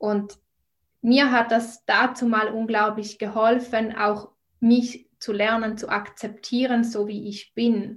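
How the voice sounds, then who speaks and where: A woman's very slow, somewhat breathy voice with a Swiss German accent, fairly high pitch and monotone, flat intonation. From Switzerland. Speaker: nutrition and mindset coach. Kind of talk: podcast interview.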